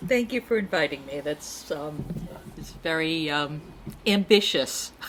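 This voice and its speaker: A woman talks at a fairly slow pace in a very deep, low pitch, her intonation lively and her loudness swinging widely. Noticeable background noise runs under her voice. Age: 60s. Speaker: therapist. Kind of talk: casual chat.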